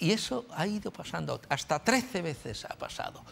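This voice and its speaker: At a moderate pace, a man talks in a high pitch. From Spain. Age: 80s+. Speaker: writer and journalist. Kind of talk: TV talk show interview. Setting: TV studio with audience. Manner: halting, many fillers.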